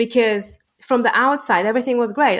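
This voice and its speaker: A woman's fairly quick speech against a quiet background. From Poland. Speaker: entrepreneur. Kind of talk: interview answer.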